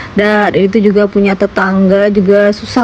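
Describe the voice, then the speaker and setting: A woman talks in a monotone with flat intonation. Noticeable background noise sits behind her. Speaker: vlogger and housewife. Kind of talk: voiceover vlog narration. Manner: casual, chatty; hesitant fillers.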